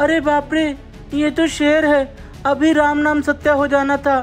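Over clear background music, a shaky, put-on character voice speaks at a moderate pace. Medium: cartoon. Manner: trembling, pleading.

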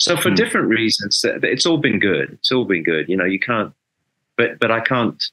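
Against a quiet background, a man with an English accent speaks at a medium pitch and a moderate pace, his bright, sharp tone carrying lively intonation at a very even loudness. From England. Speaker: rock bass player; interview guest. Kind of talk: interview.

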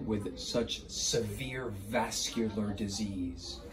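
Over faint background music, a man speaks at a fairly low pitch with ordinary pitch variation. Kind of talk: clinical explanation to viewers. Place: office.

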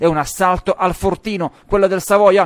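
On a very clean recording with a silent background, a man's high-pitched voice comes through with a dry, close sound and no echo. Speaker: sports reporter. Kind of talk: sports match report, voiceover over highlights. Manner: fast, energetic play-by-play delivery; animated, building excitement at goals and comebacks.

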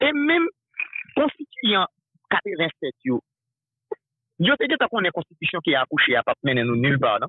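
Against a quiet background, a man with a high pitch speaks at a very slow pace, making very wide pitch swings at very even loudness, with long, frequent pauses and a dry sound with no echo. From Haiti. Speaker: political news commentator. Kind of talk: political talk show discussion. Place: studio.

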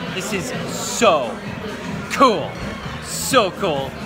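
Clear music in the background behind a man talking. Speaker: vlogger. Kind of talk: casual vlog chat. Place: bar. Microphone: phone near.

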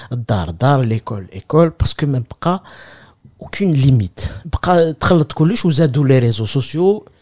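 A man talks at a fairly slow pace in a fairly high voice. His pitch swings very widely, and the sound is dry and close with no echo. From Algeria, Kabylie. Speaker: comedian. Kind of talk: casual chat.

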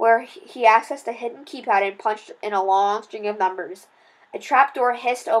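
A text is being read out loud in a voice that sounds natural.

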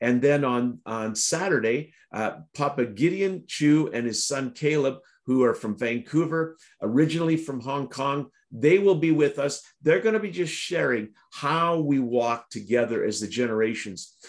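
Over a quiet background, a man with a fairly high pitch talks at a moderate pace with lively intonation. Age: middle-aged. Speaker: prayer broadcast host. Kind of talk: devotional talk and interview; casual conversation, announcements. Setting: online video broadcast. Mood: warm, cheerful. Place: home room. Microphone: video call.

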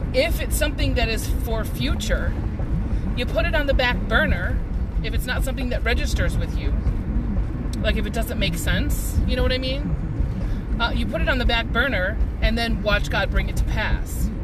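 With long, frequent pauses at a moderate pace, a man speaks over background music in a dry sound with no echo. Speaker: vlogger sharing faith reflections. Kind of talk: casual vlog chat. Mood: reflective, earnest. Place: car. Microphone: phone near.

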